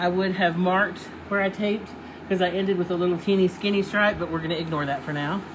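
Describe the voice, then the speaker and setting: Amid noticeable background noise, a woman at a medium pitch talks at a very fast pace with fairly even intonation. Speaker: furniture painting shop owner demonstrating paint. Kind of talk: live video tutorial. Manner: casual, chatty; loud.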